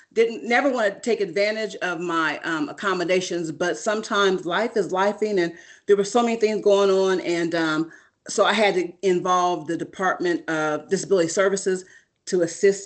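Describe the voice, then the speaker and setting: Using a normal speaking voice, a woman of medium pitch talks at a fairly quick pace. The background is quiet. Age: 50s. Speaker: doctoral student panelist. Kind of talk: panel talk on video call.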